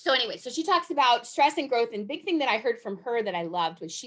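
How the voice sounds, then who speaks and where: The speaker sounds animated, moving at a fairly quick pace with very wide pitch swings. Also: woman. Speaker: enneagram presenter. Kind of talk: presentation. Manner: fast.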